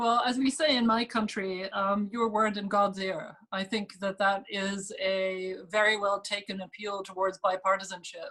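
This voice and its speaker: A woman with a German accent speaks in a bright, sharp tone at a moderate pace with fairly even intonation. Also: medium pitch for a woman, hardly any pauses. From Germany. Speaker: think tank fellow, moderator. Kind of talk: panel moderation. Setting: webinar video call.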